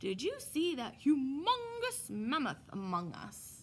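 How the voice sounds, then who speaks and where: A woman uses a put-on character voice with a high pitch. She goes at a fairly slow pace over clear background noise. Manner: exaggerated.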